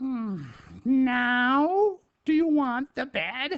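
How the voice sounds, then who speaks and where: A high-pitched, put-on character voice. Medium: read story. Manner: hesitant, halting.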